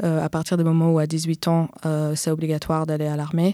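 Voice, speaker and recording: In a dry, close recording with no echo, a woman speaks at a moderate pace in a very deep, low pitch with a dark, mellow tone and monotone, flat intonation. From Israel. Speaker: activist. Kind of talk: interview conversation. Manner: halting.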